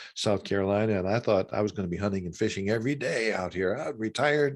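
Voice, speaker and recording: A man with a fairly low voice talks at a very fast pace on a very clean recording with a silent background. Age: 60s. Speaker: author and former minister. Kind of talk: interview conversation. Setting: long-distance call. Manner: halting, many repetitions.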